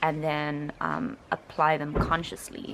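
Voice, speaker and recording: A woman with a South African accent. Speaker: linguistics student. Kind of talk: reaction commentary.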